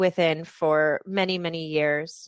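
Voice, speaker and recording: In an American accent, a woman speaks with fairly even intonation, the sound dry and close with no echo against a quiet background. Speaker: university lecturer. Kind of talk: online info session presentation. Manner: many filler ums.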